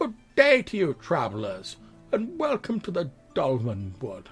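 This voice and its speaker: Over faint background music, a man does a put-on character voice, high in pitch, at a moderate pace. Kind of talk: welcoming, polite. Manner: cheery.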